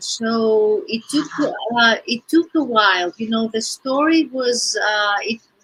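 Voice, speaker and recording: A woman with a Greek accent speaks in a raised, projected voice, her tone bright and sharp and her intonation lively. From Greece. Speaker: children's author and theater teacher. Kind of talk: interview. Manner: hesitant, many fillers.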